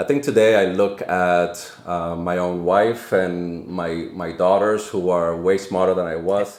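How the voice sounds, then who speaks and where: With a Spanish accent, a man speaks at a fairly slow pace in a very deep, low pitch with fairly even intonation, and audible room echo surrounds him. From Dominican Republic, then Lawrence, Massachusetts from age 13. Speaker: nonprofit CEO. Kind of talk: podcast interview.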